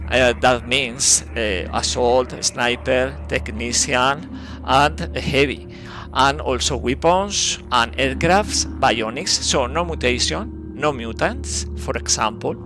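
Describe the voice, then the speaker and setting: Very wide pitch swings at a very slow pace, with music in the background. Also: man, very deep, low pitch for a man. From Spain. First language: Spanish. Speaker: video game streamer. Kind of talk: live gameplay commentary. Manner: halting, many fillers.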